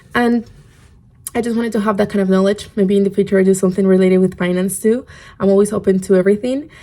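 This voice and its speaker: A woman with a Spanish accent, medium pitch and dark, mellow tone, speaking at a very fast pace with fairly even intonation. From Spain. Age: 20s. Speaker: podcast host. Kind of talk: casual podcast talk.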